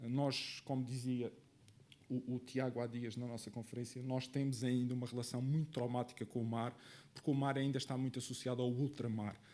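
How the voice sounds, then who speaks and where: A man at medium pitch in a Madeiran accent, dark, mellow tone, monotone, flat intonation, fairly quick pace. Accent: Madeiran Portuguese, noticeable. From Madeira, Portugal. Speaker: conference speaker, researcher. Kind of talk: conference presentation. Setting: conference stage with live audience. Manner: hesitant, many filler sounds.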